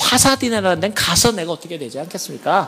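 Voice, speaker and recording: A man with a high pitch speaks in an animated tone with lively intonation. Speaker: church elder giving testimony. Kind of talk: testimony.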